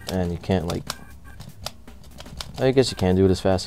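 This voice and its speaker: A man speaks in a very deep, low voice. Music plays in the background. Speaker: gaming hardware reviewer. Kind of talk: product review talk to camera. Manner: monotone, flat.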